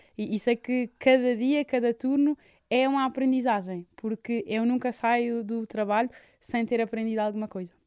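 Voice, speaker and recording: Over a very clean, silent background, a woman with an unremarkable speaking voice talks at a moderate pace and a fairly high pitch, her intonation fairly even and the sound dry and close with no echo. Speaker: palliative care nurse. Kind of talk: radio interview.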